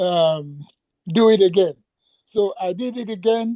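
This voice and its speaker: At a fairly slow pace, the voice carries a dark, mellow tone and fairly even intonation in a dry, close sound with no echo. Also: man. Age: 70s. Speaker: caller. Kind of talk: Q&A session. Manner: halting.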